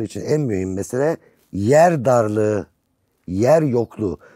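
Against a quiet background, a man speaks at a medium pitch with a dark, mellow tone and ordinary pitch variation, the sound dry with no echo. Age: 60s. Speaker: music critic and writer; guest. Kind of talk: casual chat. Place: studio.

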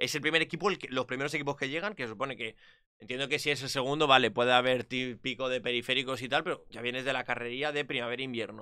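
Against a quiet background, a man with a bright, sharp tone talks at a very fast pace with ordinary pitch variation. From Spain. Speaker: esports commentator. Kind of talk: casual chat. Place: home room. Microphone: studio mic.

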